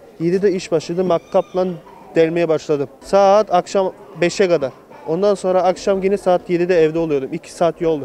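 Over light background noise, a man with a high pitch talks at a moderate pace with fairly even intonation, the sound dry with no echo. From Germany (Munich), Turkish family; Germany. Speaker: returned emigrant, electrician; interviewee. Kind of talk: street interview. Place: street. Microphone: handheld.

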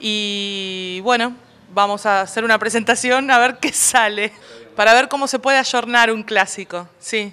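Her tone is bright and sharp as the woman talks at a fairly slow pace with fairly even intonation. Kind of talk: interview answer. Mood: relaxed, promotional. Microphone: handheld.

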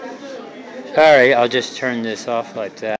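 A man speaks at a very slow pace. Crowd noise can be heard behind him. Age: 50s. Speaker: amateur videographer touring an observatory. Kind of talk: casual narration reading exhibit text. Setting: indoors at an observatory exhibit. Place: hall. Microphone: cell phone camera microphone; phone near.

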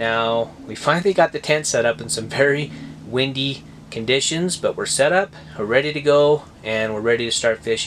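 With light noise in the background, he keeps a moderate pace and ordinary pitch variation. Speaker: fishing vlogger. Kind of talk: casual vlog chat. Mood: cheerful. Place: tent. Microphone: phone near.

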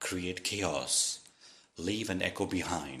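This man's voice has a bright, sharp tone with vocal fry. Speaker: voice-over artist. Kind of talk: moral story narration for kids.

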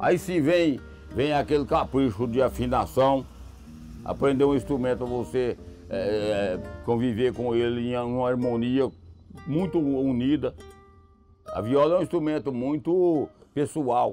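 Faint music plays in the background as the speaker talks in a rural Minas Gerais accent. The intonation is lively, broken by long, frequent pauses. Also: man. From Minas Gerais, Brazil. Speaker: country music singer. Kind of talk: interview answer. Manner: good-humoured, unhurried. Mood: warm, reflective. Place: open country. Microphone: lapel.

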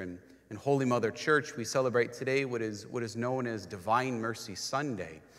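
A man talks at moderate speed, his pitch varying in an ordinary way, over a quiet background. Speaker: priest leading Mass. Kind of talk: liturgical greeting and introduction. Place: church.

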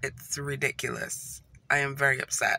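This woman has a very deep, low pitch. The sound is dry, with no echo. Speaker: vlogger. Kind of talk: casual vlog chat. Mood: upset, in pain. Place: car. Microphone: phone near.

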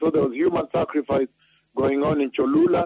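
Fairly quick and with fairly even intonation, a man speaks in a dry sound with no echo over light background noise. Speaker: preacher on radio broadcast. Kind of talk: sermon. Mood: earnest, emphatic. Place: studio. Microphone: handheld.

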